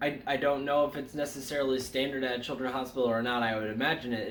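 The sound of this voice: A man talks at a fairly quick pace amid audible room echo.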